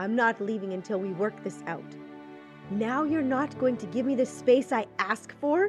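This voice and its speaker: Lively intonation at a fairly slow pace over music in the background. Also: woman. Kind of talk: audiobook narration.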